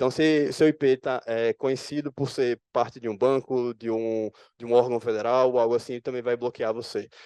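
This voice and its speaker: A man with a medium pitch and a dark, mellow tone talks with fairly even intonation, recorded dry and close with no echo. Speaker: security analyst presenting at conference. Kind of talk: conference talk. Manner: fast.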